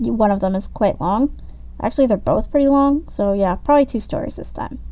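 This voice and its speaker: A woman's voice with noticeable background noise. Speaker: gaming commentary YouTuber. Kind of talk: casual commentary to camera.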